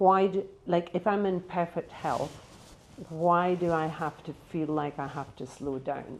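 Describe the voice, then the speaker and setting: A woman with a normal speaking voice talks at a fairly slow pace. Her pitch is fairly low, with ordinary variation. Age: 60s. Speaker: panel guest, healer and entrepreneur. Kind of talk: panel discussion.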